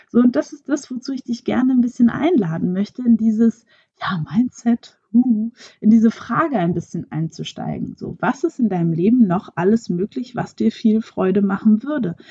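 A woman's fairly high, somewhat breathy voice with a dark, mellow tone and lively intonation, at a moderate pace, dry and close with no echo. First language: French (speaking German). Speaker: podcast host, actress and coach. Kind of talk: solo podcast monologue.

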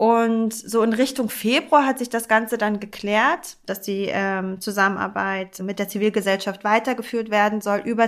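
On a very clean recording with a silent background, a woman with an ordinary speaking voice talks at a moderate pace, her fairly high pitch held in fairly even intonation. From Hamburg, Germany. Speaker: architect and charity director. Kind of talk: conversational podcast discussion.

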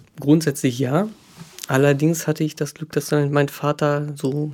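A man with an ordinary speaking voice talks at a fairly slow pace in a fairly high pitch. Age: 30s. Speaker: podcast guest sharing personal story. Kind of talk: casual chat.

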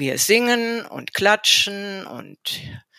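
A woman speaks with a bright, sharp tone. The sound is dry and close with no echo, on a very clean recording with a silent background. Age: 60s. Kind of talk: interview.

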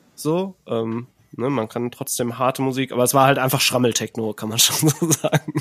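A man's normal speaking voice, moderately paced, medium-pitched, with ordinary pitch variation. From Ruhr area, Germany. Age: 30s. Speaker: composer and podcaster. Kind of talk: casual chat.

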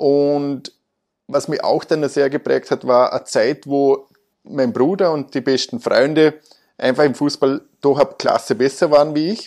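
With an ordinary speaking voice, a man of fairly high pitch talks at a moderate pace, his pitch varying in an ordinary way. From Austria, Vorarlberg. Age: 30s. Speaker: car dealership managing director. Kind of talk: interview. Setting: office.

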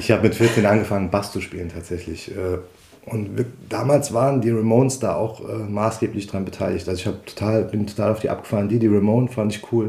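Through noticeable background noise comes a man's fairly low-pitched voice with fairly even intonation. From Saarland, Dudweiler. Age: 40s. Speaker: musician and childcare worker. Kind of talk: interview. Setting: living room at home.

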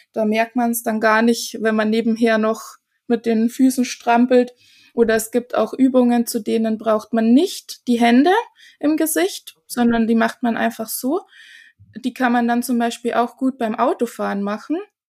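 With an unremarkable speaking voice, a woman talks at a moderate pace and a fairly high pitch with ordinary pitch variation. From Germany, small village. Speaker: face yoga teacher. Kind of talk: casual interview.

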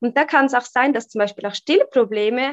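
A woman with a fairly high pitch uses an ordinary speaking voice and ordinary pitch variation. The sound is dry and close with no echo, over a quiet background. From Switzerland. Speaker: human design coach. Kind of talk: interview.

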